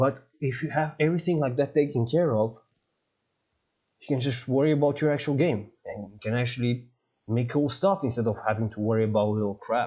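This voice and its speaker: A man's medium-pitched, dark, mellow voice at a fairly quick pace, with ordinary pitch variation and big swings in loudness. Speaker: game developer streamer. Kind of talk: live-stream tutorial. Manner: animated.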